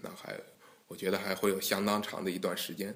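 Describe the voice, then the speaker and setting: A man's fairly low-pitched voice. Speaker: guqin association president and engineering scholar. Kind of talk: interview.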